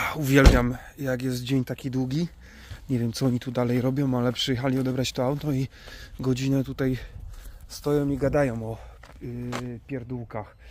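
A man's medium-pitched voice at a moderate pace, monotone and flat, with long, frequent pauses, a dry sound with no echo and noticeable background noise. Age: 30s. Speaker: YouTuber, camper van builder; van builder vlogger. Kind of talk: casual vlog.

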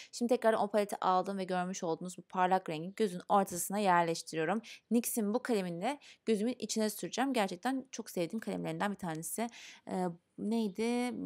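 A woman talks at a fairly quick pace. Her pitch varies in an ordinary way over a quiet background. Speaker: beauty vlogger. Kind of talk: makeup tutorial. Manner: fast; casual, chatty. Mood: calm, patient, friendly.

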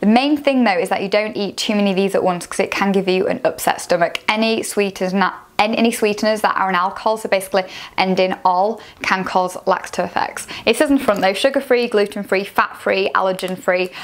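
Speaking very fast, a woman uses ordinary pitch variation. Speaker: food vlogger. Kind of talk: casual product review. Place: home room. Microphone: lapel.

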